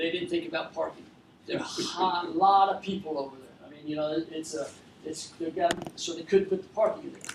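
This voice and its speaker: Over noticeable background noise, a man talks at a fairly quick pace in a high pitch, his intonation fairly even but his loudness swinging widely. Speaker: furniture business owner. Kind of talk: talk to an audience. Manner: fast.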